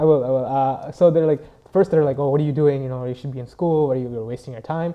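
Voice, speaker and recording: A man talks at a very fast pace with a fairly high pitch and fairly even intonation. His loudness swings a lot. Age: young. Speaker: web video creator. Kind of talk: TV interview.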